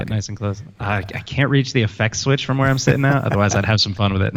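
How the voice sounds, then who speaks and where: At a very fast pace, a man talks in a fairly low pitch with ordinary pitch variation. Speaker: wedding photographer, podcast guest. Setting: close studio mic.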